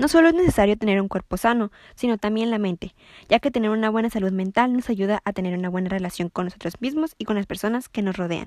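A woman talks at a fairly quick pace against a quiet background, the sound dry and close with no echo. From Mexico, Ensenada, Baja California. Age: young. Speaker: nutrition student. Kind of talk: scripted tips monologue.

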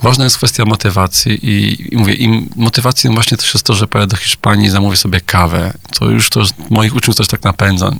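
Talking at a very fast pace, a man keeps a fairly low pitch, fairly even intonation and very even loudness. Noticeable background noise runs underneath. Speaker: Spanish teacher and video maker. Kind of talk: radio interview.

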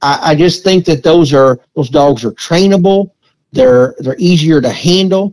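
A man with an American accent speaks at a fairly slow pace in a fairly high pitch with ordinary pitch variation, in an unremarkable speaking voice. The sound is dry and close with no echo. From Missouri Ozarks. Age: 40s. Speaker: hound dog breeder and trainer. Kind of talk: casual interview.

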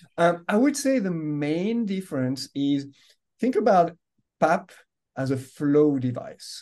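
A man with a French accent talks very slowly, with long, frequent pauses and very wide pitch swings. His voice is high with a dark, mellow tone. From France. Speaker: medical device executive. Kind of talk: interview.

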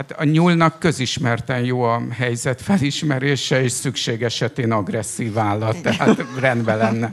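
The speech moves at a fairly slow pace with hardly any pauses and ordinary pitch variation, over noticeable background noise. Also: man, medium pitch for a man. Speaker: author who interviewed the poet. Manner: halting, with many hesitations.

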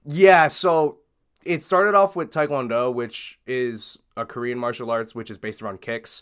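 Here a man with an ordinary speaking voice talks at a medium pitch and moderate pace, with lively intonation and big swings in loudness. The recording is very clean with a silent background. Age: 20s. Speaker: streamer and martial arts tricker. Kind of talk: casual chat.

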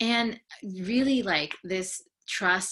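A woman with an American accent has a bright, sharp tone and ordinary pitch variation. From San Francisco Bay Area, US. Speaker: counseling psychology student and life coach. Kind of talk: casual interview.

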